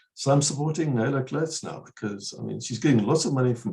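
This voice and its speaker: A man's fairly quick, somewhat breathy voice with a dark, mellow tone, ordinary pitch variation and a quiet background. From South Africa, Eastern Cape. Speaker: researcher; interview guest. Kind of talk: webinar Q&A discussion. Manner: fast. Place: home room. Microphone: earbuds.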